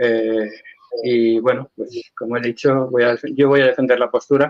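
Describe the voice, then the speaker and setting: Speaking with a Spanish accent, a man at medium pitch keeps a moderate pace and fairly even intonation. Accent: Spanish (Spain). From Spain, Valencia. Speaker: religious debater. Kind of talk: formal debate.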